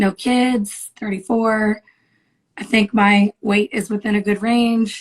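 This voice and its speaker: A woman speaks at a very slow pace in a fairly high pitch, somewhat breathy and with very even loudness. Her intonation is monotone and flat, the sound dry and close with no echo. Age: 30s. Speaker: caller. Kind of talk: call-in advice conversation. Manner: halting, with fillers.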